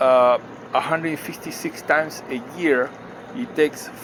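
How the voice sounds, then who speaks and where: Over noticeable background noise, a man with a fairly high pitch speaks with lively intonation. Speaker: finance video maker. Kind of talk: tutorial. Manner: slow; halting.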